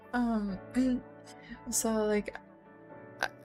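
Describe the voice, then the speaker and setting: A soft-spoken woman talks with fairly even intonation. Music plays in the background. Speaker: VTuber streamer. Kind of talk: casual talk to camera.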